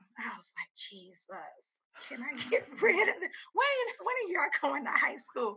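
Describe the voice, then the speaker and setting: A woman with an American accent, extremely high-pitched and animated, her raised, projected voice showing very wide pitch swings and big swings in loudness at a moderate pace. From Houston, Texas. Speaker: middle school PE teacher. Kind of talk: casual interview chat. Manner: animated, laughing.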